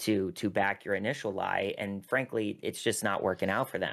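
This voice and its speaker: A man's fairly low-pitched voice, a normal speaking voice, in a very clean recording with a silent background. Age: 30s. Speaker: talent manager. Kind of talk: podcast interview.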